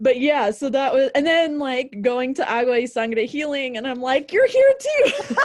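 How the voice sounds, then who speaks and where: With an American accent, a woman speaks in a high pitch at a moderate pace, with fairly even intonation and hardly any pauses, over noticeable background noise. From Boise, Idaho, US. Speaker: founder of a healing organization. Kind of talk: casual chat.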